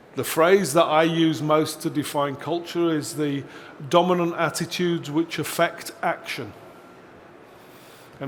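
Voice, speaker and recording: Through audible room echo, a man with a fairly high voice speaks at a fairly slow pace. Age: 60s. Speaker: seminar presenter. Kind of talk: conference seminar talk.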